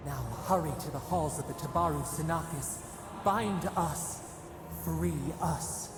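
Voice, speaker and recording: Soft-spoken and in a put-on character voice, the speaker talks at a fairly slow pace with long, frequent pauses amid loud background noise and a clear echo. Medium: video game. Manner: speaks as we, soft and persuasive.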